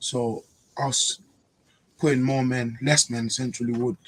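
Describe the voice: At a fairly slow pace, a man speaks at medium pitch with little pitch movement.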